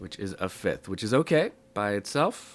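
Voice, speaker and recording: A man's bright, sharp tone. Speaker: music theory teacher. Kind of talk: tutorial. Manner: casual with many fillers.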